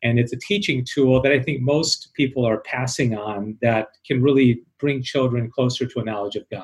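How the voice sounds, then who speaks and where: A somewhat breathy male voice at medium pitch, moderate pace, ordinary pitch variation and hardly any pauses. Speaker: radio host, author, teacher. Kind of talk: interview, casual chat.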